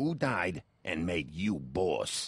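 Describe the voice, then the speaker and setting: Putting on a character voice, a man growls at a very deep, low pitch. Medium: video game. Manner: brusque, questioning.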